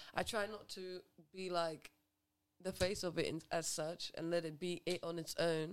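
Moderate pace from a woman, fairly low in pitch, with monotone, flat intonation. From Grenada, raised in England. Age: 20s. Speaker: podcast guest. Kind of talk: casual chat.

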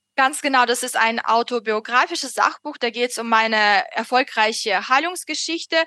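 A woman speaks with a Russian accent at a high pitch, her tone bright and sharp. Her pace is moderate with ordinary pitch variation, and the sound is dry and close with no echo. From Russia, Moscow. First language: Russian (speaking German). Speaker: author. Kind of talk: interview. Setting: video call. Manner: halting, many fillers.

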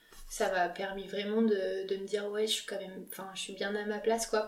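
Her intonation stays monotone and flat. The woman talks at a moderate pace and a medium pitch. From France, Lyon. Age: 20s. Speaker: medical resident. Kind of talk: interview.

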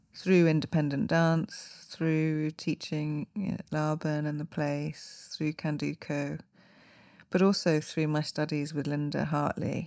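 At a very slow pace, a woman with a very deep, low pitch speaks in a dark, mellow tone and flat, monotone intonation, the recording very clean with a silent background. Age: 50s. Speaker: dancer and choreographer. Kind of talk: interview.

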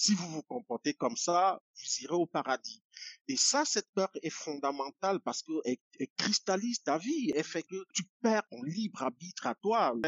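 At a moderate pace, a man with a high pitch talks in very wide pitch swings. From Cameroon, village near Yaoundé. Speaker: poet and activist. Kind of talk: interview. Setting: video call.

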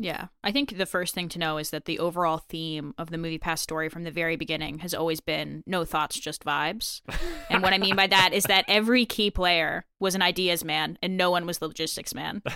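A woman speaks at a fairly quick pace with hardly any pauses, using a normal speaking voice that sits at a fairly low pitch, her intonation fairly even. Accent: American. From United States. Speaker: stock analyst. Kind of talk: casual chat.

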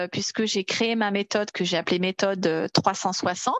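A woman at a very slow pace, medium pitch, with noticeable background noise. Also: dry, close sound with no echo. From Paris region, France. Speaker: Nordic walking coach. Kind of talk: casual interview.

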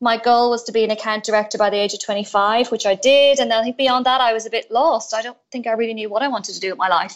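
A woman speaks in an Irish accent at a very fast pace. Her pitch is fairly high, with fairly even intonation. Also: hardly any pauses. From Ireland. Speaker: entrepreneur. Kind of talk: interview.

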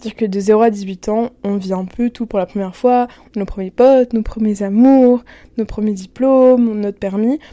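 Heard in a dry, close sound with no echo, the voice has a dark, mellow tone, fairly even intonation and a moderate pace. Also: woman. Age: 20s. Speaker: student podcaster. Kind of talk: casual personal podcast monologue.

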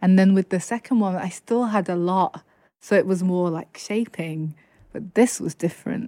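A woman with a Lancashire accent, medium in pitch and dark and mellow in tone, at a moderate pace, dry and close with no echo on a very clean recording with a silent background. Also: ordinary pitch variation. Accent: northern English (Lancashire). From northwest England, Chorley. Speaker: poet and author. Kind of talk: interview.

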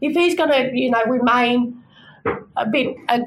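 The speech comes in an Australian accent at a fairly slow pace with ordinary pitch variation. Noticeable background noise is present. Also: woman. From New South Wales, Australia. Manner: soft-spoken.

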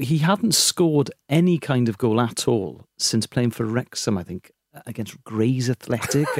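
A man with a Welsh accent speaks at a fairly slow pace and medium pitch, with long, frequent pauses. His intonation is lively, his loudness swings widely, and the sound is dry and close with no echo. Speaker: comedian. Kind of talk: casual chat.

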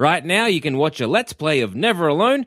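A man with an Australian accent and fairly high pitch speaks at a fairly quick pace in a very clean recording with a silent background. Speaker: comedy podcast co-host. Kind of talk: scripted announcement. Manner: distinctive speaking style mocked by co-host.

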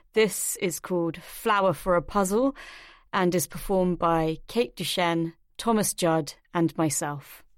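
In a British accent, a woman talks at a fairly slow pace with a fairly low pitch, ordinary pitch variation and very even loudness, on a very clean recording with a silent background. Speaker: podcast presenter. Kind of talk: scripted presenting and interview.

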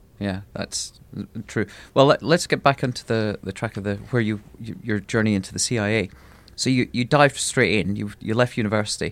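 A man's plain, everyday voice, fairly low in pitch, with ordinary pitch variation and a fairly quick pace. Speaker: podcast host. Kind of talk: interview.

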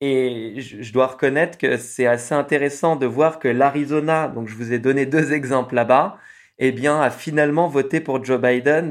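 A man has an ordinary speaking voice at medium pitch. He speaks at a fairly slow pace with fairly even intonation. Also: very clean recording, silent background. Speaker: podcaster and traveller. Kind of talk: interview.

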